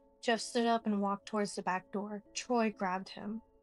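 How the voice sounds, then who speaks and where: Music plays in the background as a woman speaks at a moderate pace. Her fairly high voice stays monotone and flat. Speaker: story narrator. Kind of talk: horror story narration.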